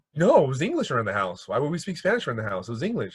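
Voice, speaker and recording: Very fast talk with very wide pitch swings, vocal fry, and a slight Mexican accent. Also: man. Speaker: podcast guest. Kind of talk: casual chat. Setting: video call.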